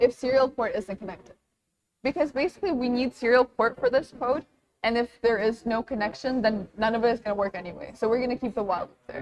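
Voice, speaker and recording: A woman with a non-native accent, high in pitch, at a very fast pace. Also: ordinary pitch variation, dry, close sound with no echo. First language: not English. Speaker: workshop instructor. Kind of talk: tutorial. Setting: live workshop with audience. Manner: casual, conversational.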